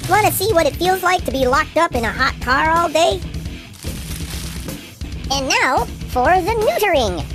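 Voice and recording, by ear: A cartoonish, high-pitched character voice with clear music in the background. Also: moderate pace.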